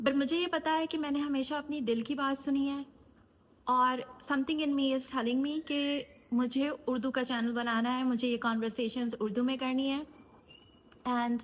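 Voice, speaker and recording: A woman with a high-pitched voice talks with fairly even intonation and very even loudness. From USA. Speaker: life coach and YouTuber. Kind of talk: casual talk to camera.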